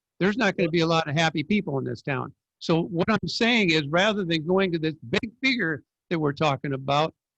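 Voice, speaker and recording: A high-pitched man with an American accent, lively intonation and a fairly quick pace, in a dry, close sound with no echo. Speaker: city council member. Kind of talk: heated debate. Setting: video call.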